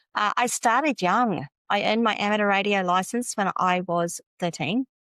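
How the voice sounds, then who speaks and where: A woman with an Australian accent, ordinary pitch variation and very even loudness, in a dry, close sound with no echo against a quiet background. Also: medium pitch for a woman, moderate pace. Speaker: business tech consultant. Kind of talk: interview.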